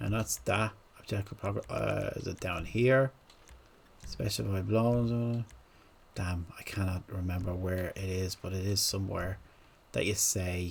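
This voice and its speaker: A man with a very deep, low voice and a slight Irish accent speaks in a somewhat breathy way, with long, frequent pauses. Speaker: gaming content creator. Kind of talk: tutorial. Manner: slow; halting.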